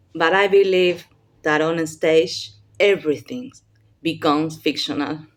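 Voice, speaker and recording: In a non-native accent, the speaker talks at a fairly slow pace with ordinary pitch variation on a very clean recording with a silent background. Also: woman. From Argentina, Buenos Aires. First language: Spanish. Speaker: playwright and university professor. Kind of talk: workshop talk. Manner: halting.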